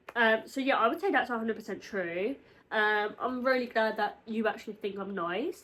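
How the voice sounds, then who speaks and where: In a British accent, the voice sounds animated, with a bright, sharp tone. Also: woman, fairly high pitch for a woman, ordinary pitch variation, moderate pace. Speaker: YouTuber. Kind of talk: casual chat.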